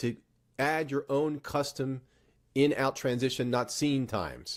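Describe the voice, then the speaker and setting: This man has an ordinary speaking voice, pitched fairly high, and he talks at a fairly slow pace. The recording is very clean with a silent background. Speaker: tech tutorial YouTuber. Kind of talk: tutorial.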